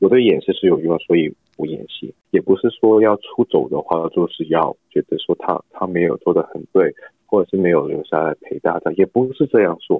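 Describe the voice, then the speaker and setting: A man with a Cantonese accent at a moderate pace. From Hong Kong. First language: Cantonese (speaking Chinese). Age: 20s. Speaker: actor. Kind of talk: interview. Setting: video call.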